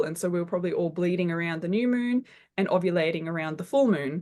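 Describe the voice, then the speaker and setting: At a fairly quick pace, a woman with a slight German accent speaks at fairly low pitch, her pitch varying in an ordinary way. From Germany, Berlin. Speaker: constellations facilitator and counsellor. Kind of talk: podcast interview.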